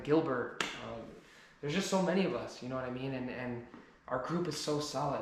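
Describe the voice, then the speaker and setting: At a fairly quick pace, a man of medium pitch speaks in an American accent amid audible room echo and noticeable background noise. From New Jersey, US. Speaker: car enthusiast YouTuber. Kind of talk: personal vlog monologue. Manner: halting, repeated word starts.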